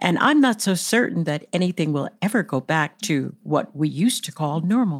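With an American accent, a woman speaks in an unremarkable speaking voice, fairly low in pitch, at a moderate pace with lively intonation and hardly any pauses, on a very clean recording with a silent background. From United States, Gullah country. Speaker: podcast co-host. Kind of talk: interview.

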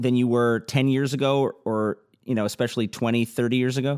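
In a very clean recording with a silent background and dry, close sound with no echo, a man speaks in an unremarkable speaking voice at medium pitch and a moderate pace. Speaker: podcast interviewer. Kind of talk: interview.

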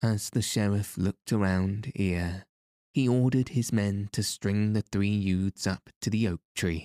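The intonation stays fairly even in this natural reading voice, with a quiet background behind it.

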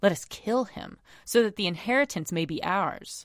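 A woman's lively intonation comes through on a very clean recording with a silent background. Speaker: priest. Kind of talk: reading aloud.

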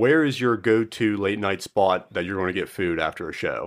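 A man speaks at a moderate pace in an ordinary speaking voice, fairly low with ordinary pitch variation. The recording is very clean, with a silent background. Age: 30s. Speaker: podcast host and musician. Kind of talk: casual chat.

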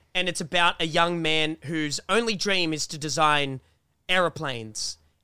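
A man with an Australian accent, fairly high in pitch, at a moderate pace on a very clean recording with a silent background. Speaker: YouTuber and podcast co-host. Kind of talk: casual chat. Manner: loud; animated.

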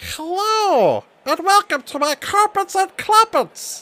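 In a put-on character voice, the speaker squeaks at an extremely high pitch and a fairly slow pace. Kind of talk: comic overacting. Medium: actual play. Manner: friendly, enthusiastic.

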